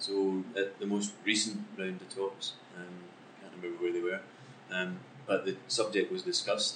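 Over music in the background, a man with a Scottish accent speaks with big swings in loudness. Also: moderate pace. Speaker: football club executive. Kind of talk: interview. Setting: on location.

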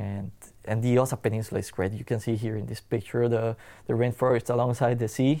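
This man talks at a fairly quick pace in a medium pitch, with monotone, flat intonation and a dark, mellow tone, on a very clean recording with a silent background. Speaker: coffee farmer. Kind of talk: interview. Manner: halting.

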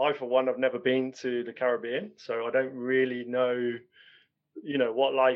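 A man talks at medium pitch and a moderate pace. His intonation is monotone and flat. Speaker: podcast host. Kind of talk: interview conversation.

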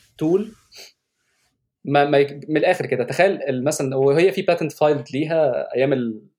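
A man with a normal speaking voice and a fairly high pitch talks at a moderate pace, with ordinary pitch variation. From Egypt. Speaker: software engineer. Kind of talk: casual interview.

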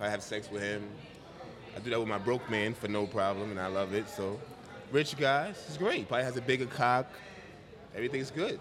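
A New York accent at a fairly quick pace, with long, frequent pauses and ordinary pitch variation. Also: man, medium pitch for a man. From Bronx, New York. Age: 30s. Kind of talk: casual chat.

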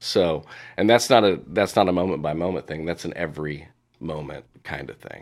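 A man with an American accent speaks at a moderate pace in a very deep, low pitch, with ordinary pitch variation and big swings in loudness. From Indiana, US Midwest. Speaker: executive coach. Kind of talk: interview.

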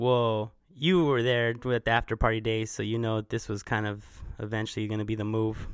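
A man's unremarkable speaking voice at medium pitch, moderately paced, with fairly even intonation. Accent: American. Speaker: podcast host and music promoter. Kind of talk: casual interview chat.

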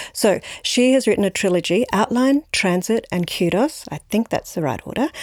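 A woman with an Australian accent talks at a moderate pace with lively intonation, the sound dry and close with no echo. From Australia, Brisbane. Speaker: novelist. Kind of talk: interview. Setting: library recording.

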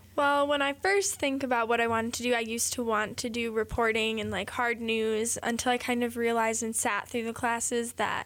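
Using an ordinary speaking voice, a woman with a fairly high pitch talks at a fairly quick pace with fairly even intonation. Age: 20s. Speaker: college student. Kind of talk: interview. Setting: studio.

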